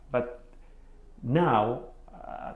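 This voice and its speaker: A man with a Greek accent, audible room echo around his voice. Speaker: podcast host. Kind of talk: interview. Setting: office. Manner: halting.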